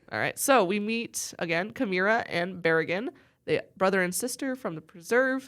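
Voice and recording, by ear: Natural-voiced reading aloud with lively intonation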